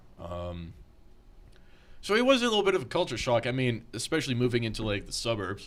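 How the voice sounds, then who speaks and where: A man with a medium-pitched voice talks at a very fast pace, his pitch swinging very widely, with long, frequent pauses and audible echo from the room. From France (Paris), moved to California at nine. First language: French. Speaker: metal band musician. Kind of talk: casual chat. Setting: podcast recorded in a garage.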